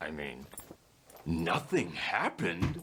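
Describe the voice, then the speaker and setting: In a put-on character voice, a man speaks with a very deep, low pitch. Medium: voice reel. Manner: defensive, stammering.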